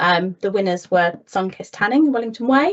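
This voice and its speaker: A woman speaks at a medium pitch with lively intonation. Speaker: council officer presenting town centre update. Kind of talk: meeting presentation. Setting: virtual meeting. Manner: fast.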